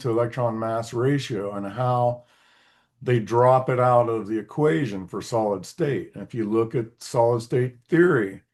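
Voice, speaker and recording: A man at medium pitch and moderate pace, with ordinary pitch variation, over a quiet background. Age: 60s. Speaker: electrical engineer and physics theorist. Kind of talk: casual interview chat. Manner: halting, with many repeated words.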